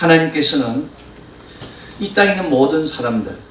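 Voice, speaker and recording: Noticeable background noise and audible room echo surround a man speaking with lively intonation. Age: 50s. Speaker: pastor. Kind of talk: sermon.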